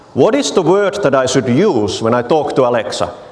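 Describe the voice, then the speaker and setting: Noticeable background noise and audible room echo around a man with a Finnish accent, moderate pace, and very wide pitch swings. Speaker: technology evangelist. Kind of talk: conference talk with live demo.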